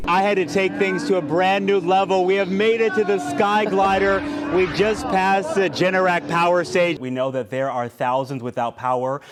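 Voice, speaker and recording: With music in the background, a man in an American accent speaks at a moderate pace with hardly any pauses, lively intonation and high pitch. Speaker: TV news reporter and anchor. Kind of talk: TV news reporting and anchoring. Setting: outdoors, live field reporting.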